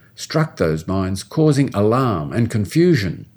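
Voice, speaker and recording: Very clean and set against a silent background, the recording has a man with an Australian accent speaking at a moderate pace in a fairly low pitch with very wide pitch swings. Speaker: history professor. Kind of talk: scripted narration. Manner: formal.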